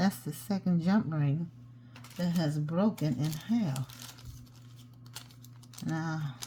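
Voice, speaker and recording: Speaking at a very slow pace, a woman leaves long, frequent pauses. Her very deep, low voice has lively intonation. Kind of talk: tutorial. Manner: mumbles sometimes; casual, chatty.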